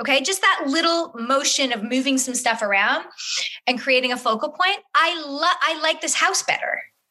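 Bright, sharp woman's voice, raised and projected, at a moderate pace with lively intonation. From Northern Ontario, Canada. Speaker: TV host and house flipper. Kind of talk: interview.

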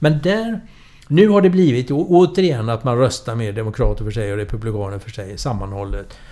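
A man's dark, mellow voice with very wide pitch swings and big swings in loudness. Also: medium pitch for a man, fairly quick pace. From Sweden, Gothenburg. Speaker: political scientist and author. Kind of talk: interview.

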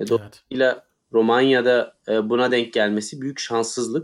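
Flat, monotone male speech at a mid-range pitch and an even, moderate pace. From Turkey. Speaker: tennis podcast co-host. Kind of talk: casual chat.

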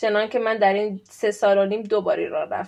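A woman's medium-pitched voice, fairly quick, in a monotone with flat intonation. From Iran. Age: 30s. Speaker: PhD student. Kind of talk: interview.

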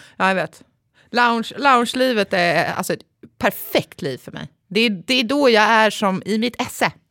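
A woman speaks at a fairly high pitch with a bright, sharp tone, lively intonation and big swings in loudness at a moderate pace. The very clean recording has a silent background and a dry, close sound with no echo. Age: 30s. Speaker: podcast co-host. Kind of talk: casual chat. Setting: studio.

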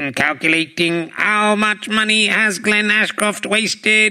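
Putting on a character voice, a man speaks at a fairly slow pace with a high pitch. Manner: mechanical, flat.

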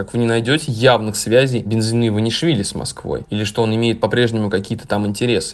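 The speaker is a man at medium pitch. He moves along at a fairly quick pace. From Russia. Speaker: journalist and political expert. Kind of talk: recorded interview commentary. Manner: hesitant, many filler words.

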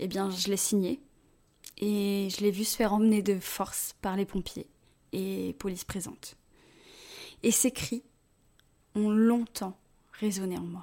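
Captured in a very clean recording with a silent background, the voice has a dark, mellow tone, fairly even intonation, a very slow pace, and long, frequent pauses. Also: woman, medium pitch for a woman. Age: 20s. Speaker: personal storyteller. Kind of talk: scripted narration.

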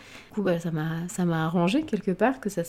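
A woman's fairly low, dark and mellow voice at a fairly quick pace, with fairly even intonation. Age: 30s. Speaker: podcast host and blogger, new mother. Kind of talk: solo personal storytelling podcast. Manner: casual, chatty.

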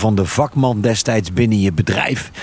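Noticeable background noise sits behind a man's fairly low voice. He talks at a moderate pace with ordinary pitch variation. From Netherlands, North Brabant (Veghel). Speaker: retail chain executive. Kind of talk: casual discussion. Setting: outdoors at a farm picnic table.

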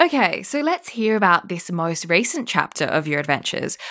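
A woman speaking at a fairly quick pace with very wide pitch swings, on a very clean recording with a silent background. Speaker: podcast host and travel journalist. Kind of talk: interview.

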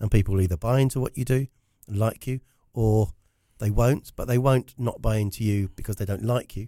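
A medium-pitched man with a southern English accent, talking at a fairly quick pace. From South Africa. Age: 50s. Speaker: business storytelling consultant. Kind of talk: casual interview chat.

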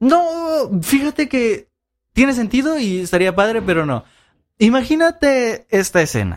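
The recording is very clean, its background silent. On it, a man's pitch swings very widely. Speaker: podcast co-host. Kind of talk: casual chat.

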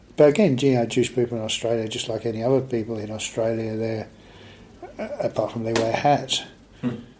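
Against noticeable background noise, a man speaks fairly quickly at a medium pitch in a monotone, flat intonation. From southern England (Aldershot, Hampshire). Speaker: author. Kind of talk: interview.

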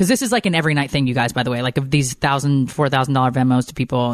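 Talking at a fast pace, the speaker uses ordinary pitch variation. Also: woman.

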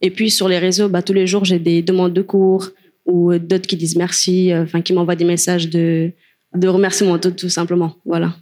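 A woman talks at a moderate pace in a fairly low pitch with a dark, mellow tone. Her intonation is monotone and flat, her loudness very even. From Cape Verde. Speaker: longboard dancer. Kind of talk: panel discussion.

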